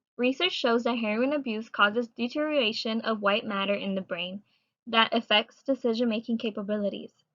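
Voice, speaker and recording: This woman has a plain, everyday voice and a fairly high pitch. Her pace is fairly quick, with ordinary pitch variation. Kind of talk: student presentation read.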